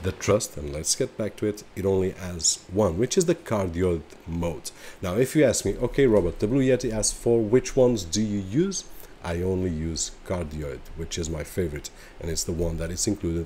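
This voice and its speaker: A man's very deep, low voice at a moderate pace, with ordinary pitch variation over light background noise. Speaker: tech reviewer. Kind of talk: product review talk. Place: home room. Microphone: studio mic.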